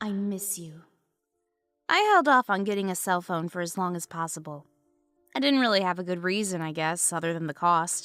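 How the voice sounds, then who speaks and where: Over music in the background, a woman speaks at a moderate pace and fairly low pitch, with ordinary pitch variation and long, frequent pauses. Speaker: story narrator. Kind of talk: horror story narration.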